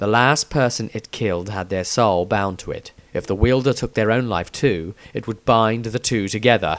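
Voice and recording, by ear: The text is read aloud in a natural voice, pitch shifting in an ordinary way.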